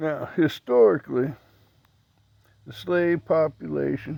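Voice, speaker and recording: On a very clean recording with a silent background, a man with an American accent and a fairly high pitch speaks at a fairly slow pace. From Missouri, Franklin County. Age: 60s. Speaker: video blogger. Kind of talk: casual monologue. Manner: conversational, rhetorical questions.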